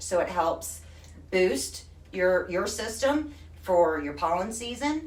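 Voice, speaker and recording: A woman with a Texan accent, audible room echo, noticeable background noise. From Texas. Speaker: craft product retailer. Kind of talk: live stream demo. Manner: animated.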